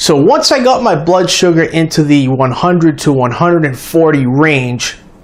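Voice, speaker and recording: A man with an American accent, fairly high in pitch with lively intonation, at a fairly slow pace over noticeable background noise. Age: 40s. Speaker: diabetes health vlogger. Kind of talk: personal testimony vlog. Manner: casual, conversational.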